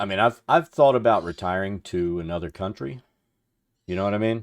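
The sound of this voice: A man with a fairly low pitch talks at a fairly quick pace with ordinary pitch variation, in a very clean recording with a silent background.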